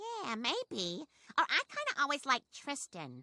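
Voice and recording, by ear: A cartoonish character voice in a dry, close sound with no echo. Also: woman, high pitch for a woman, moderate pace.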